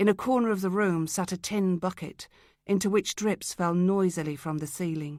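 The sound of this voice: Delivered in an unforced reading voice, the speech has ordinary pitch variation.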